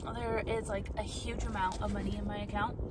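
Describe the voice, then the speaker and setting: Against loud background noise, a woman speaks in a dry sound with no echo. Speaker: vlogger. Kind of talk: casual vlog chat. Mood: excited, relaxed. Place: car. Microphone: phone near.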